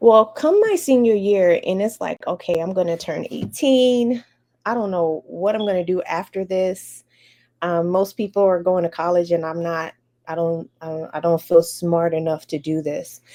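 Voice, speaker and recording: In an American accent, a woman speaks with a fairly low pitch and a dark, mellow tone. Her pace is moderate and her pitch variation ordinary. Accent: American; can switch on Bahamian. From Chicago area, US Midwest. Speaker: educator. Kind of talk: interview, personal story. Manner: conversational, some repetitions.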